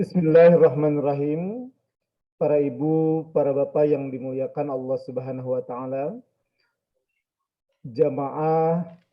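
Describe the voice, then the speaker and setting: At a very slow pace, a man with a fairly high pitch talks with fairly even intonation. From Garut, West Java, Indonesia. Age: 30s. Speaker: Islamic teacher. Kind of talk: religious lecture.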